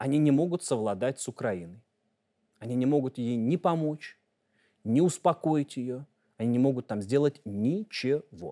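Against a quiet background, a man with a dark, mellow tone speaks with lively intonation and long, frequent pauses. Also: moderate pace. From Russia. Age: 30s. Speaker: journalist. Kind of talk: interview. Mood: calm, assured. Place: studio. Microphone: lapel.

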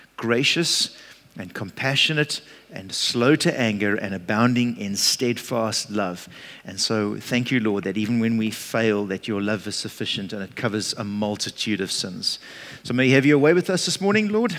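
A man keeps a moderate pace, his pitch varying in an ordinary way. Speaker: preacher. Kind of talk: sermon and spoken prayer. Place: church.

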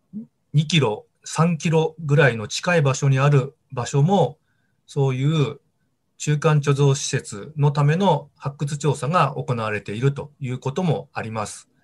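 A man's somewhat breathy voice, fairly high in pitch, at a fairly slow pace with ordinary pitch variation. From Tohoku, Japan (Sendai, Miyagi); Tohoku, Japan. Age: 50s. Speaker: archaeology professor. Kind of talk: interview. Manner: measured, with frequent fillers. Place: home room. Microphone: video call.

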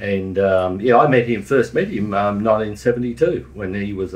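A man with an Australian accent, fairly low pitch and lively intonation. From Queensland, Australia. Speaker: local councillor and crime historian; local councillor. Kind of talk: casual chat. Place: studio.

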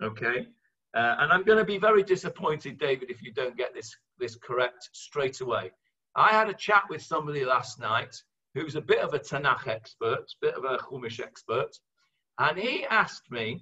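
A man's voice at a moderate pace with big swings in loudness, over a quiet background. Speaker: religious teacher. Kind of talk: lecture. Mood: warm, light-hearted teaching. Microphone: webcam.

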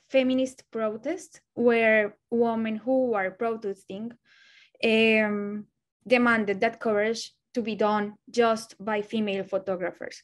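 With a Spanish accent, a woman speaks very slowly in a fairly high voice with fairly even intonation against a quiet background. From Colombia. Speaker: photojournalist. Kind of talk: presentation of own work. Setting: video call. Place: home room. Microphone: webcam.

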